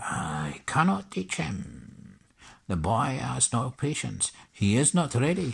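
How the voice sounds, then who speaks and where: A man in a put-on character voice at a medium pitch, with very wide pitch swings. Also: fairly slow pace. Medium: read story. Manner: inverted word order.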